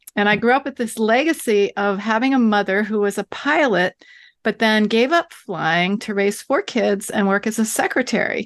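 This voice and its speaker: Against a quiet background with a dry, close sound and no echo, a woman speaks at a moderate pace with a fairly high pitch and an ordinary speaking voice. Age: 60s. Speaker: author and writing teacher. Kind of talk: interview conversation. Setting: remote call.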